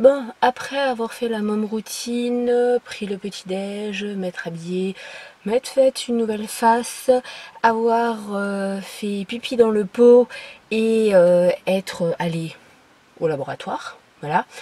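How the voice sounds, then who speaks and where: Ordinary pitch variation at a very slow pace. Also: woman, fairly high pitch for a woman. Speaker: lifestyle vlogger. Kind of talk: casual vlog monologue. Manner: hesitant, many fillers.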